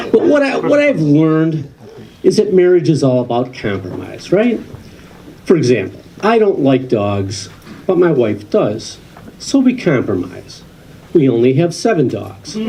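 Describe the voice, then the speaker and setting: An American accent with very wide pitch swings, a fairly slow pace and long, frequent pauses, plus noticeable background noise and audible room echo. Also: man, fairly high pitch for a man. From Western New York. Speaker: comedian. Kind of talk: stand-up. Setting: stage with audience.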